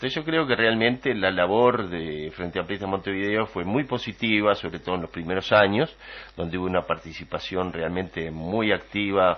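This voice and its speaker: At a moderate pace, a man with a fairly low voice speaks with ordinary pitch variation. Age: 60s. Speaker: political commentator. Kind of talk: radio political debate. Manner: halting, many fillers.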